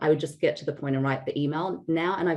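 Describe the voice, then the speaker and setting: A woman speaks with an Australian accent. Her pitch is very deep and low, with ordinary pitch variation. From Australia, Sydney. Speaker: founder of online community, data leader. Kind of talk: interview. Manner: conversational, with fillers.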